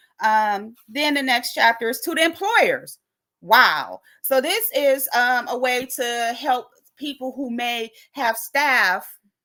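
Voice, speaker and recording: In a very clean recording with a silent background, someone with an American accent speaks very slowly in a bright, sharp tone with lively intonation. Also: woman, high pitch for a woman. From New York City. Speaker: recovery meeting host. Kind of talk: informal explanatory talk on a livestream. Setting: livestream. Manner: casual, with many filler words.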